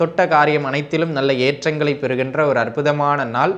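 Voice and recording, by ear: A man's fairly high, fairly bright voice with fairly even intonation at a moderate pace.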